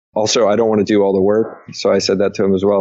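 A man speaks at a fairly low pitch with monotone, flat intonation. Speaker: angel investor. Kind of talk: interview. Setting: remote call.

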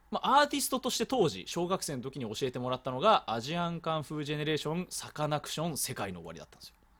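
A man races at a very fast pace with hardly any pauses, his fairly high voice making very wide pitch swings and big swings in loudness on a very clean recording with a silent background. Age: 20s. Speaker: podcast host. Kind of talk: casual chat.

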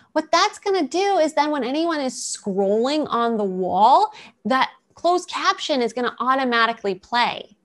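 Someone with an American accent speaks at a moderate pace, the pitch swinging very widely. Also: woman, high pitch for a woman. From US East Coast. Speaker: video marketing business owner. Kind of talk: webinar presentation.

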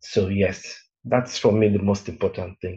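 The voice is dark and mellow in tone and somewhat breathy. It moves at a moderate pace. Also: man. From Nigeria (Benin City, Lagos). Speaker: copywriter and part-time lecturer. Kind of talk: interview.

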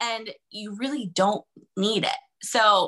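A woman with a fairly high pitch and ordinary pitch variation speaks in a plain, everyday voice. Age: 30s. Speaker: money and mindset coach. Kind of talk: casual chat.

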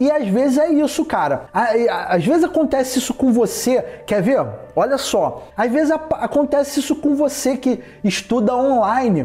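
The speech moves at a fairly slow pace with lively intonation and very even loudness, over noticeable background noise. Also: man, extremely high pitch for a man. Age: 30s. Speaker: podcast host, distance-education worker. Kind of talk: casual solo podcast monologue.

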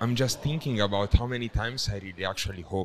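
A man speaks with a non-native accent. His pitch varies in an ordinary way. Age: 30s. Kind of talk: casual chat.

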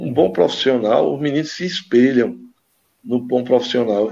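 At a moderate pace, a man with a medium pitch speaks in an unremarkable speaking voice with ordinary pitch variation against a quiet background. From Brazil, Caruaru, Pernambuco. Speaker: former amateur footballer. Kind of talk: casual interview.

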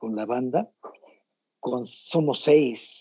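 A man with a medium pitch speaks very slowly. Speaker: rock guitarist. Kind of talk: interview.

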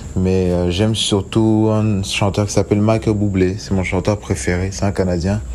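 Over noticeable background noise, a man speaks at a fairly low pitch and fairly slow pace, with very even loudness, fairly even intonation and hardly any pauses. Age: 20s. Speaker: singer. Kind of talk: recorded self-introduction.

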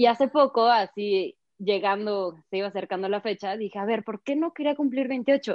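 Using a normal speaking voice, a woman with a fairly high pitch and ordinary pitch variation talks at a moderate pace. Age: 20s. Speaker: ceramic artist. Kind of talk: casual chat. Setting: call.

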